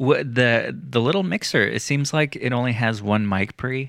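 With lively intonation, a man speaks at a moderate pace in a very clean recording with a silent background. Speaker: musician and sound engineer. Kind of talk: casual chat.

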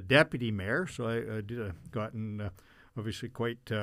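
A man's medium-pitched voice at a fairly slow pace, in a very clean recording with a silent background. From Canada, Brandon, Manitoba. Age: 60s. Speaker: mayor. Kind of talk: interview. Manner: halting, many fillers.

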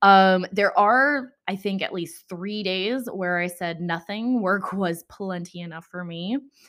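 A woman with an American accent speaks in a normal speaking voice, at a fairly slow pace with hardly any pauses. Her medium pitch shows ordinary variation, while her loudness swings widely. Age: 20s. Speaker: podcast host. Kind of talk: casual solo chat. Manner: chatty with frequent fillers.

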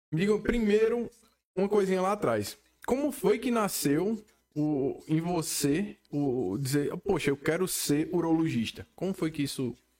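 Talking at a fairly slow pace, a man uses a high pitch and lively intonation. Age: 30s. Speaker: podcast host. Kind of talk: casual interview. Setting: studio.

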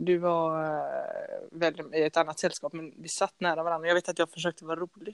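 With an unremarkable speaking voice, a woman talks at a fairly quick pace in a fairly low pitch, her intonation fairly even and the sound dry and close with no echo. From Gothenburg, Sweden (partly Norrland). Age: 20s. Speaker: podcast co-host, handball player. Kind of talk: casual chat.

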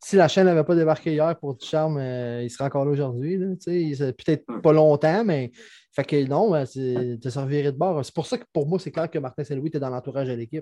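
Over a quiet background with a dry, close sound and no echo, a man speaks fairly quickly in a fairly high, dark, mellow voice with ordinary pitch variation. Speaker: hockey podcast co-host. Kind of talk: casual chat.

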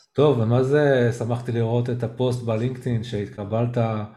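A man speaks at a fairly slow pace with medium pitch and fairly even intonation. Room echo is audible. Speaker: podcast host who stutters. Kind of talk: casual chat. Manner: halting.

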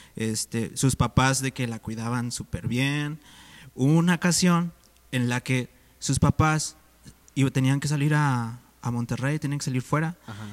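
Speaking at a fairly slow pace, a man has a normal speaking voice at medium pitch with ordinary pitch variation. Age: 20s. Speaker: church volunteer. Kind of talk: casual chat.

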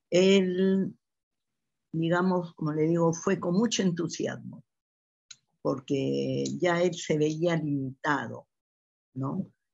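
Speaking at a very slow pace, a woman leaves long, frequent pauses. Her pitch is fairly low. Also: ordinary pitch variation. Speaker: mother of the host. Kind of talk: interview testimony.

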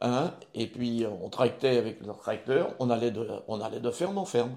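A man's dark, mellow tone at medium pitch and a fairly slow pace. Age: 70s. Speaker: retired driving instructor. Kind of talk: interview. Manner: halting.

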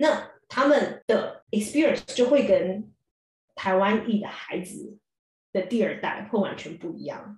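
Speaking at a fairly slow pace, a woman with a fairly high pitch uses lively intonation and big swings in loudness. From Taiwan. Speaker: dentist and columnist. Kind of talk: casual chat.

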